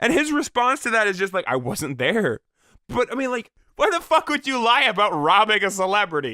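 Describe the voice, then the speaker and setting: Raised and projected, a man's high, bright, sharp voice moves at a fairly quick pace with very wide pitch swings, in a very clean recording with a silent background. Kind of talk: reddit post reading with casual commentary. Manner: casual, humorous, profane.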